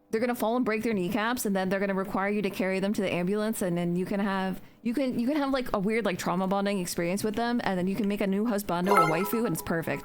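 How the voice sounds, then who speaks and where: A woman's animated, medium-pitched voice at a very fast pace with hardly any pauses, ordinary pitch variation and very even loudness, with audible room echo and music in the background. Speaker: video game streamer. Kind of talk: casual live stream chat while gaming.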